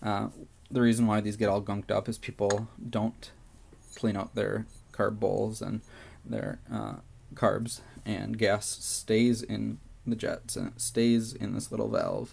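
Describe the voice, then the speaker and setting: A fairly slow pace with long, frequent pauses. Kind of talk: tutorial. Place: home room. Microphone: phone near.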